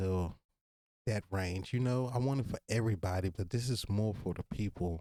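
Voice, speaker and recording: On a very clean recording with a silent background and a dry, close sound with no echo, a man with a slight Virginia accent speaks at a fairly slow pace in a relaxed, dark, mellow tone, with fairly low pitch and ordinary pitch variation. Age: 30s. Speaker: podcast host. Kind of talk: casual monologue. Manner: relaxed, conversational.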